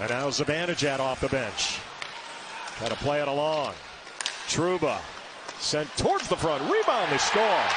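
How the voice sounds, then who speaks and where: A man with a fairly high pitch talks at a moderate pace, leaving long, frequent pauses over noticeable background noise. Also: ordinary pitch variation. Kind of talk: live sports commentary. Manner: loud, punchy, exclamatory calls.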